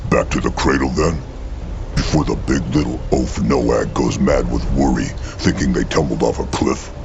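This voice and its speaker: A put-on character voice at a moderate pace, heard over loud background noise. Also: man. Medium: machinima. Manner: third person, sarcastic.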